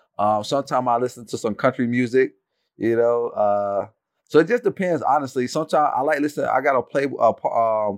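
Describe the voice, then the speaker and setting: A plain, everyday voice talks at a fairly quick pace with ordinary pitch variation, in a dry, close sound with no echo. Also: man. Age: 30s. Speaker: rugby sevens player. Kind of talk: podcast interview. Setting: remote call from the US.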